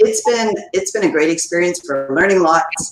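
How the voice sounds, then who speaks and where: A woman with a Canadian accent talks at a moderate pace in a normal speaking voice, fairly low in pitch. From Canada, Ottawa. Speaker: educator and speaker. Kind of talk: interview.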